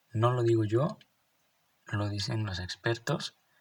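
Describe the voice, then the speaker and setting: Speaking at a fairly slow pace with a Mexican accent, a man uses a somewhat breathy, fairly low-pitched voice and fairly even intonation. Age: 20s. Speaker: real estate podcaster. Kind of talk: solo podcast explainer. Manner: hesitant with repetitions.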